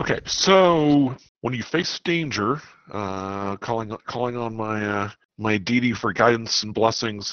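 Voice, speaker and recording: A man with an unremarkable speaking voice talks at a fairly slow pace, at medium pitch with ordinary pitch variation. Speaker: tabletop game player.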